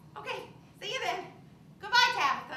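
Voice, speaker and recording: A squeaky put-on character voice with a nervous tone moves at a fairly quick pace, with a slight echo. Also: woman, extremely high pitch for a woman. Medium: stage play.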